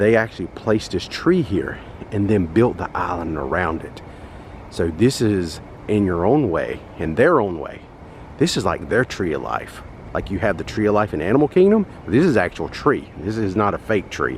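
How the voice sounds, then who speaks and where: A man with a Southern US accent and lively intonation, over noticeable background noise. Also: fairly low pitch for a man. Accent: Southern drawl. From North Carolina, US South. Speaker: travel vlogger. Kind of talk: walking tour vlog. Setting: outdoors at a resort. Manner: casual, chatty.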